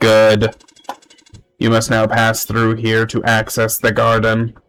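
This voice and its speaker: Using a put-on character voice, a man speaks at a medium pitch with monotone, flat intonation. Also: fairly slow pace. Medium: solo performance. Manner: formal, solemn.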